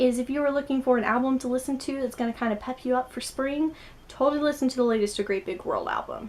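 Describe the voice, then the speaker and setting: The delivery moves at a very fast pace. The tone is animated. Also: woman. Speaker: booktuber. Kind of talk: casual vlog recommendations.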